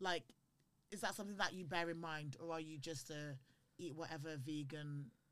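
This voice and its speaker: Fairly quick speech broken by long, frequent pauses. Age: 20s. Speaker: podcast co-host. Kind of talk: casual chat.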